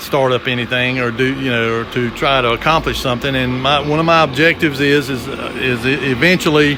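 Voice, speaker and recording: A man talks with noticeable background noise around him. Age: 60s. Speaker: shop owner and former industrial electrician. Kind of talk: casual video walkthrough. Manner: halting, many fillers and repeats.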